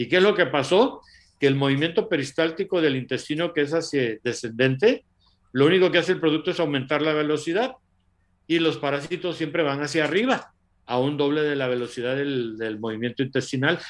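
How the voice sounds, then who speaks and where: Speaking at a fairly quick pace, a man uses a normal speaking voice, fairly high in pitch, with ordinary pitch variation. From Latin America. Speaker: doctor and nutrition product promoter. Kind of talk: live stream talk.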